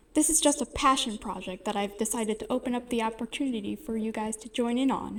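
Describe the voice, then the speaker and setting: At a moderate pace, a woman speaks with a high pitch. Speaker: animation series creator. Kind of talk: casual talk to camera. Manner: stuttering.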